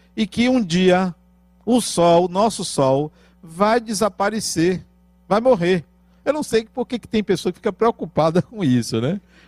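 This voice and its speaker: Speaking at a fairly slow pace, a man uses a high pitch and lively intonation, the sound dry and close with no echo. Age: 50s. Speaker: spiritist lecturer. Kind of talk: spiritual lecture.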